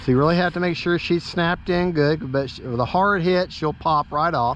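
A man's high voice at a moderate pace, dry and echo-free, over light background noise. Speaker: RC hobbyist vlogger. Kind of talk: casual vlog chat. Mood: relaxed, friendly. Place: open country. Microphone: phone near.

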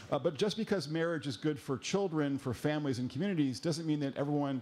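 With ordinary pitch variation, the man's voice rises and falls. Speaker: panel moderator. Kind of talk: moderator introduction. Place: hall.

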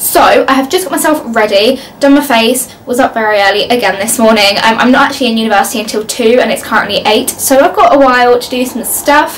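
Speaking very fast with hardly any pauses, a woman uses a high pitch and an English accent. Her pitch varies in an ordinary way, and there is light background noise. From Leicester, England. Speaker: university student vlogger. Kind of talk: casual talk to camera. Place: home room. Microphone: phone near.

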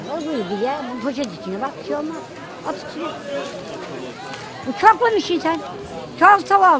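Over crowd noise, a woman speaks at a moderate pace in a high pitch, with very wide pitch swings and big swings in loudness. She takes long, frequent pauses, and the sound is dry with no echo. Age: 70s. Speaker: market vendor. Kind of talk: street interview answer. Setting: outdoors. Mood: warm, cheerful, affectionate. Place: market. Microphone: phone near.

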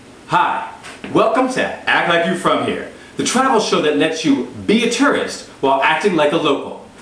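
An upbeat, animated man with an American accent, high-pitched, at a moderate pace, with very wide pitch swings and audible room echo. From US. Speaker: travel show host, comedian. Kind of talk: scripted-style pitch introducing a travel show, comedic monologue. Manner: upbeat, animated, cheerful, salesy. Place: home room.

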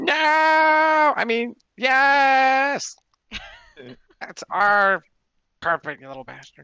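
A man puts on a character voice at an extremely high pitch. He goes very slowly, with long, frequent pauses. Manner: cheeky, sly.

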